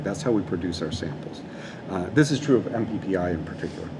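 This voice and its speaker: A man talks at a fairly quick pace with very wide pitch swings, amid noticeable background noise and audible room echo. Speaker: robotics professor. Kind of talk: lecture. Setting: seminar room with audience and live stream. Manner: fast; frequent fillers.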